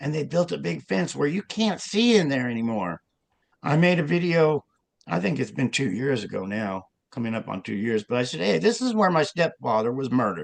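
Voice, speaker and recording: With an American accent, a man talks fairly quickly at a medium pitch, his voice making very wide pitch swings. The sound is dry and close, with no echo. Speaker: self-described hidden public figure's son, author. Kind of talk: interview.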